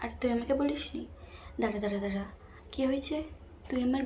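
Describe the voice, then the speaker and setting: Over noticeable background noise, a woman speaks in a high, playful voice with ordinary pitch variation. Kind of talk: ASMR makeup roleplay, casual talk to a friend. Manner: soft, playful, bossy-friendly.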